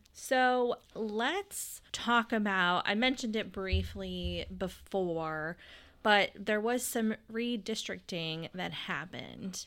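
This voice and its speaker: In an Appalachian accent, a woman speaks at a very slow pace on a very clean recording with a silent background. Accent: West Virginia (Appalachian) American. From West Virginia, Pendleton County. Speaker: podcast host, city planning employee. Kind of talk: casual interview; reading introductions.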